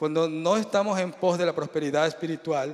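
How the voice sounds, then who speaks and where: Fairly high pitch and fairly even intonation in a man's voice. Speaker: preacher. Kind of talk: sermon. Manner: fast.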